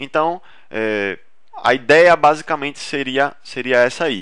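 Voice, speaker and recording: A man's fairly high-pitched, bright and sharp voice with ordinary pitch variation. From Recife, northeast Brazil. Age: 30s. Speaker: dentist and marketing instructor. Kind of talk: webinar presentation. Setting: online webinar. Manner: casual, with frequent fillers and false starts.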